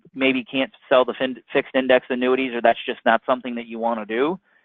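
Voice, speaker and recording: This is a normal speaking voice. It goes at a fairly quick pace. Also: man. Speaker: insurance product presenter. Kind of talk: webinar sales presentation. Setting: phone line webinar.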